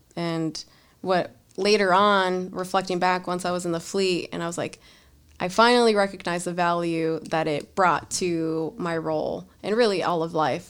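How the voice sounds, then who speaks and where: In an ordinary speaking voice, a woman talks at a fairly low pitch and a moderate pace. Her intonation is fairly even, and the recording is very clean with a silent background. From Los Angeles, California. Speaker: Marine Corps officer and computer science graduate student. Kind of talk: casual interview.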